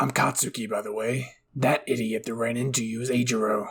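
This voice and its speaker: A raspy, put-on character voice at a fairly quick pace, with fairly even intonation. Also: man, medium pitch for a man. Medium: read story. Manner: brusque, cursing.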